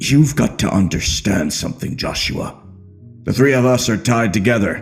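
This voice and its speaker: The speaker uses a put-on character voice. Faint music can be heard in the background. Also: man. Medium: read story. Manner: measured, knowing.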